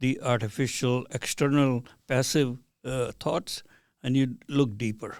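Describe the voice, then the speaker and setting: A man speaks fairly slowly at a medium pitch with a dark, mellow tone. The recording is very clean, with a silent background. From India. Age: 80s+. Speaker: physician. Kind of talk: interview. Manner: hesitant, with fillers.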